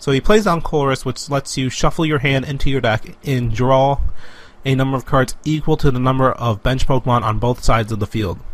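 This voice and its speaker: A man speaks at a fairly quick pace. He has a normal speaking voice. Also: medium pitch for a man, ordinary pitch variation. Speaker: Pokemon trading card game commentator applicant. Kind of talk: live esports-style game commentary.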